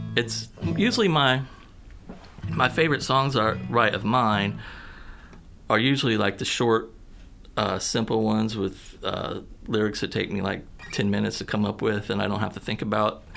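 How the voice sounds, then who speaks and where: With an American accent, a man of fairly low pitch speaks at a moderate pace with ordinary pitch variation, vocal fry, and long, frequent pauses. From southern Missouri. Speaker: musician. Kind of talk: radio interview.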